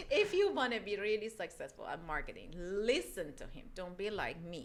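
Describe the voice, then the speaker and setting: A woman with a non-native accent speaks at a moderate pace, her loudness rising and falling sharply. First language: not English. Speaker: loan officer. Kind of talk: casual chat. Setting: recorded video podcast. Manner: halting.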